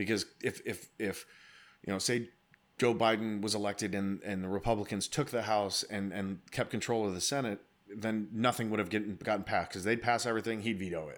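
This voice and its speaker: A man's plain, everyday voice, fairly low and fairly quick, with fairly even intonation in a very clean recording with a silent background. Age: 30s. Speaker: podcast host, military veteran. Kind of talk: casual chat.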